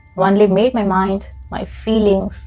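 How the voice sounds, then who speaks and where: A woman speaks with music in the background. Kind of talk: audiobook-style horror story narration, ASMR. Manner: soft, intimate, slow.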